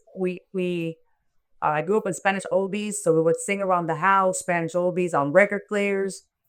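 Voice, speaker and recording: On a very clean recording with a silent background, a woman talks with a Miami accent. Her pitch is medium, her pace moderate and her intonation fairly even. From Miami, Florida (born in Cuba). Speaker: reggae singer. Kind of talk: interview.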